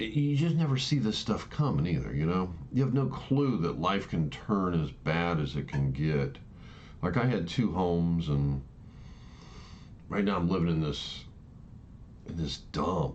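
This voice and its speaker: A man with a very deep, low pitch speaks at a fairly slow pace with very wide pitch swings and long, frequent pauses, in audible room echo. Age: 60s. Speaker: vlogger sharing personal views. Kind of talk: casual monologue. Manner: halting, many false starts.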